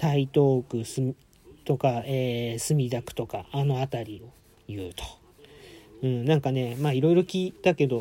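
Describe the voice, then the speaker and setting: At a fairly slow pace, a man with a dark, mellow tone speaks in a medium pitch with ordinary pitch variation and long, frequent pauses. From Tokyo, Adachi ward. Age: 40s. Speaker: podcaster. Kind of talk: casual solo talk. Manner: halting, many fillers.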